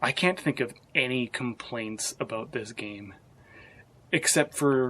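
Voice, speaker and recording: This man is soft-spoken. His voice sits at a medium pitch. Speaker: gaming vlogger. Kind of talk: casual vlog review. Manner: quiet, soft-spoken; halting, many restarts.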